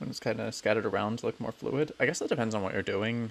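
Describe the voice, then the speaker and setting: A man speaks with an American accent. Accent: American, self-described as mumbling. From United States. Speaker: Minecraft streamer. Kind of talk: live stream commentary.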